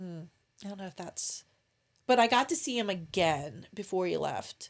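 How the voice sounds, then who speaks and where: A woman with an American accent speaks at a medium pitch and moderate pace. Her intonation is lively, and her loudness swings widely. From Maryland, US (Salisbury). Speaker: military and police spouse. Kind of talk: casual interview chat. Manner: halting, many fillers.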